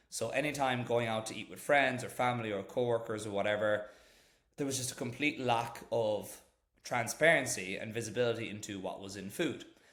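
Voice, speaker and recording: Against audible room echo, a man with an Irish accent talks fairly quickly at a medium pitch, his loudness swinging widely. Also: ordinary pitch variation. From Ireland. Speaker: startup founder, former corporate lawyer. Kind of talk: podcast interview.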